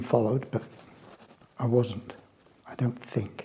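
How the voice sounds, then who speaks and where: In a West Country accent, a man talks at a medium pitch with fairly even intonation. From England, Bristol. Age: 70s. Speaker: artist. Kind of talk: interview testimony. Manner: halting, hesitant.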